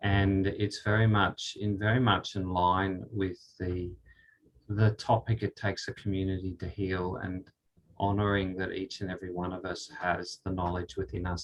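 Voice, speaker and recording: A man with an Australian accent speaks at a very deep, low pitch, somewhat breathy. His intonation is monotone and flat, at a moderate pace. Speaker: spiritual speaker. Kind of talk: talk with guided meditation. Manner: halting.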